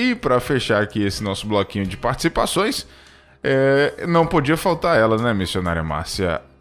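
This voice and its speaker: A man with an unremarkable speaking voice uses lively intonation at a moderate pace. The recording is very clean, with a silent background. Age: 30s. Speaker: radio host. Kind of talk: live radio hosting.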